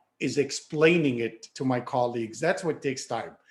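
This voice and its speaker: This man speaks with a French accent at a moderate pace. His pitch varies in an ordinary way. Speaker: orthodontist and lecturer. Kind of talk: interview. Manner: halting, repeats words.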